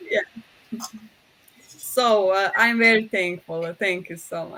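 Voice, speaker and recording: Speaking very slowly, a woman with a Croatian accent has a bright, sharp tone. Her pitch is fairly high and her intonation fairly even. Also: big swings in loudness. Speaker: professor, project president. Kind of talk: closing remarks. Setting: online webinar. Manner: halting, many fillers.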